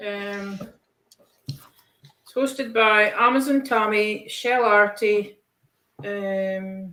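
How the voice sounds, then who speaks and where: Speaking very slowly with long, frequent pauses, a woman with a Scottish accent has a fairly high, bright, sharp voice and ordinary pitch variation. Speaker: colouring hobbyist participant. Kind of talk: casual chat. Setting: video call from her kitchen.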